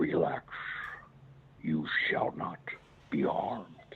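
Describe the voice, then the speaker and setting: A put-on character voice at a very slow pace, with light background noise. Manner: terrifying, commanding.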